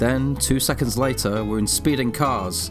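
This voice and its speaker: Over music in the background, a man with a medium pitch speaks at a moderate pace with very wide pitch swings. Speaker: video essayist. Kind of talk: video essay narration, wry commentary.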